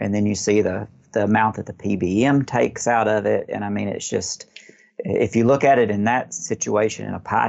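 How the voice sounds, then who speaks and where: A man with an American accent speaks at a moderate pace, his fairly low voice showing vocal fry and ordinary pitch variation. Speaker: pharmacist. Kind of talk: interview.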